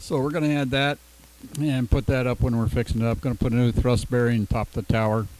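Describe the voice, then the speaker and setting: A man speaks at a very fast pace with a medium pitch and ordinary pitch variation. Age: 70s. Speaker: ham radio operator. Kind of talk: casual chat. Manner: halting.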